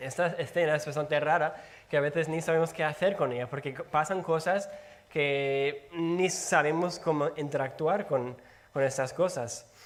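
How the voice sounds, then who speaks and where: Over audible room echo, a man with an English accent speaks at a moderate pace in a fairly high pitch with fairly even intonation. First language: English (speaking Spanish). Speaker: preacher. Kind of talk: sermon. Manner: halting, with stumbles and repeated words.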